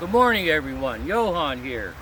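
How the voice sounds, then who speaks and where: Speaking at a moderate pace over noticeable background noise, a man with an American accent uses lively intonation and a fairly high pitch. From Pennsylvania, coal mining town. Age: 60s. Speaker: spiritual vlogger. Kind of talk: casual vlog monologue. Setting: outdoors in a grove.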